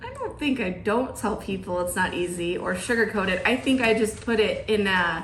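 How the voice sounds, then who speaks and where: A woman speaks with an American accent, hardly any pauses and ordinary pitch variation. Her recording carries audible room echo and noticeable background noise. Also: medium pitch for a woman, moderate pace. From US South, Georgia. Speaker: podcast host. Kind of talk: casual chat.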